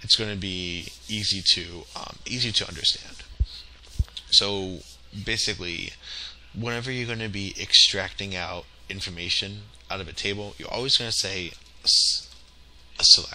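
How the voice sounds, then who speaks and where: This man speaks at a moderate pace with a fairly low pitch. His speech has long, frequent pauses, and there is noticeable background noise. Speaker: tech tutorial instructor. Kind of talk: tutorial. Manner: halting, many fillers; casual.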